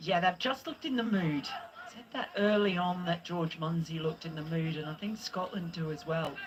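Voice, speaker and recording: In an Australian accent, a woman with a fairly low pitch speaks at a moderate pace and with ordinary pitch variation, over noticeable background noise. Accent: Australian twang. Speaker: cricket commentator. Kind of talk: live commentary.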